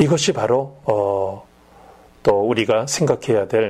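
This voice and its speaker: An unremarkable speaking voice, this man's moves at a fairly slow pace with ordinary pitch variation. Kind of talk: religious education talk show.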